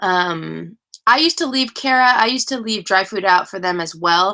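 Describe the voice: A woman speaks at a medium pitch with a bright, sharp tone and vocal fry. Her intonation is lively.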